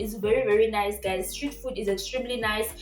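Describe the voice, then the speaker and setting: Speech in a Zimbabwean accent with ordinary pitch variation and music in the background. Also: woman. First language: Shona. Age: 20s. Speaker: vlogger. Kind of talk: casual vlog talk. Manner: animated.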